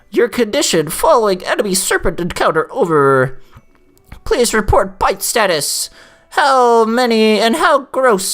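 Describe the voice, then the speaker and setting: A put-on character voice, female-sounding and fairly high in pitch, at a moderate pace over faint music in the background. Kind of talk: radio procedure speech. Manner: nerdy, formal, over-the-top.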